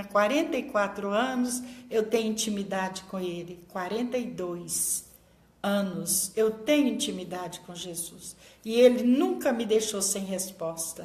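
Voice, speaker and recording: A woman speaks with a fairly high pitch and lively intonation. Audible room echo surrounds her voice. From Brazil, small inland town. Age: 60s. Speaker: pastor. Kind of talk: sermon.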